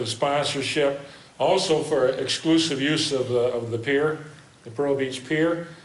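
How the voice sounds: A man speaks at a medium pitch. Strong room echo surrounds his voice.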